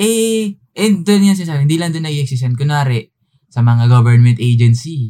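The voice has a dark, mellow tone and is somewhat breathy, with very wide pitch swings. It moves at a moderate pace. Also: man, fairly high pitch for a man. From Philippines, Tagalog region. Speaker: podcast co-host. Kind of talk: casual chat.

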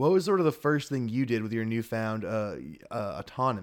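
Speaking at a moderate pace, a man with an ordinary speaking voice uses lively intonation at medium pitch on a very clean recording with a silent background. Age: 20s. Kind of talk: improvised comedy chat.

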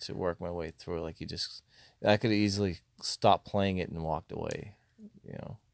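A man mumbles at a moderate pace with ordinary pitch variation. The sound is dry and close, without echo. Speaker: podcast co-host. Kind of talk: casual chat. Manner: mumbling.

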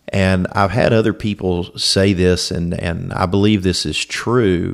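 Captured in a very clean recording with a silent background, a man with a Southern US accent speaks at a fairly low pitch with fairly even intonation. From Louisiana (Alexandria). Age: 40s. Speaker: defense attorney. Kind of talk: scripted narration. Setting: at home.

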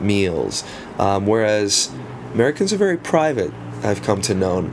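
A man's speech comes at a moderate speed against noticeable background noise. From South Africa. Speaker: guest. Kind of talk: casual interview chat.

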